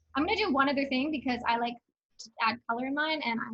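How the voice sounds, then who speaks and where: Delivered at a very fast pace, the speech carries ordinary pitch variation. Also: woman. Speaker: teaching assistant. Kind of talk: tutorial.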